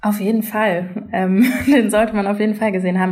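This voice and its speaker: Audible room echo surrounds a woman speaking at a fairly quick pace. Her intonation is monotone and flat. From Germany. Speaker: journalist. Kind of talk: casual chat. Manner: hesitant, many fillers.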